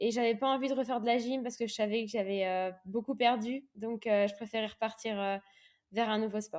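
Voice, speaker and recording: A woman talks at a fairly quick pace with a fairly high pitch. Her intonation is fairly even, and the recording is very clean with a silent background. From Réunion. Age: 20s. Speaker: professional triathlete. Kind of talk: interview. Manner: hesitant, many fillers.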